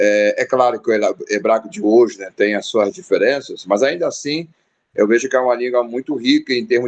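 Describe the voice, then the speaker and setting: A man with a strong Rio de Janeiro accent, a fairly high pitch and a fairly quick pace. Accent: strong carioca. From Rio de Janeiro, Brazil. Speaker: pastor and theology teacher. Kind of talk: casual chat. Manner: halting, many fillers.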